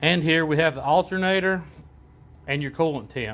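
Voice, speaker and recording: The man speaks in a strong Southern accent. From US South. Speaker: auto parts maker demonstrating product. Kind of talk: product walkthrough tutorial. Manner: casual, halting with fillers.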